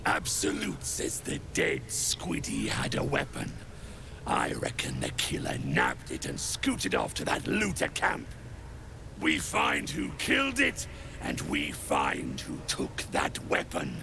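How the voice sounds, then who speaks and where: A man's put-on character voice at a fairly slow pace over loud background noise. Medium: video game. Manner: gruff, domineering.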